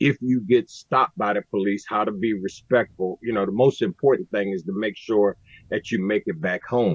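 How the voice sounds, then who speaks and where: At a moderate pace, a man with an American accent speaks in a plain, everyday voice, his intonation lively. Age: 60s. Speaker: recovery advocate. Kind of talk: podcast interview.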